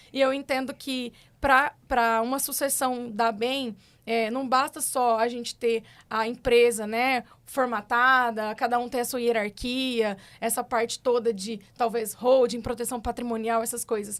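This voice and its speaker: In a Minas Gerais accent, a woman speaks at a high pitch and a fairly slow pace. Her intonation is monotone and flat, and the recording is very clean with a silent background. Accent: drawling mineiro. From Minas Gerais, Triângulo Mineiro (Brazil). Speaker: agronomist and cattle rancher. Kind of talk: podcast interview. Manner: casual, chatty.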